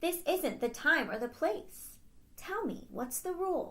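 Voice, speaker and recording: In an extremely high, female-sounding put-on character voice, the speaker goes at a fairly slow pace. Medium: read story.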